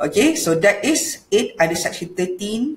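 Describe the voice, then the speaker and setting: A woman with a Malaysian accent, somewhat breathy, with lively intonation at a moderate pace, amid light background noise and audible room echo. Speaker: law lecturer. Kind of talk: lecture. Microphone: webcam.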